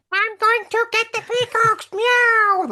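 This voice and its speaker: This is a put-on character voice at an extremely high pitch. It moves at a fairly slow pace with monotone, flat intonation. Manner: meowing.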